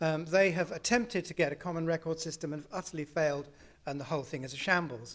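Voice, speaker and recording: A man with a British accent talks at a very fast pace and a fairly high pitch. The recording is very clean, with a silent background. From UK. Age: 60s. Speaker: health services researcher. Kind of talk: conference talk.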